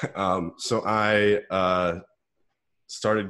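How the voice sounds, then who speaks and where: The background is quiet. A man speaks in a flat, monotone way. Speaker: guest. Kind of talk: interview answer. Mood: relaxed, amused. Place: home room. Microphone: earbuds.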